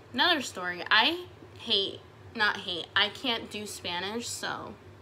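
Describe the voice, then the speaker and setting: Fairly high-pitched woman with an American accent, amid noticeable background noise and audible room echo. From Utah. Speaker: beauty vlogger. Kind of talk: casual chat while doing makeup tutorial. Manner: animated.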